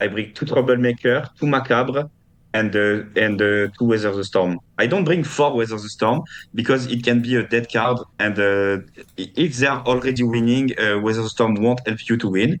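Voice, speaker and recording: A man with a French accent, medium in pitch, with ordinary pitch variation. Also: moderate pace, quiet background. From France. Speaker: competitive card game player. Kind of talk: interview. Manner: halting, many fillers and repeats.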